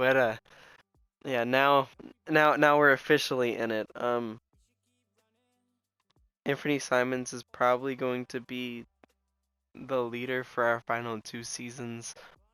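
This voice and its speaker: With music in the background, a man at medium pitch speaks at a fairly slow pace in monotone, flat intonation, his loudness swinging widely in a dry, close sound with no echo. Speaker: video game commentator. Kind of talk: casual gameplay commentary.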